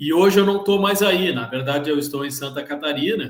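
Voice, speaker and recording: A man's voice in a Bahian accent with ordinary pitch variation. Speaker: procurement worker at charities, participant. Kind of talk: online panel discussion. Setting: live video call.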